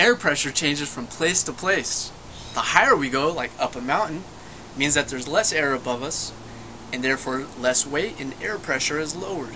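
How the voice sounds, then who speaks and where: A man's fairly high voice carries lively intonation at a moderate pace, with noticeable background noise behind him. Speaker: science presenter. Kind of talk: educational tutorial. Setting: home kitchen. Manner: soft-spoken; animated.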